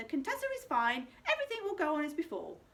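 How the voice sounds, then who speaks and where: This is a squeaky, put-on character voice. It races at a very fast pace with very wide pitch swings. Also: woman, extremely high pitch for a woman. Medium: read story.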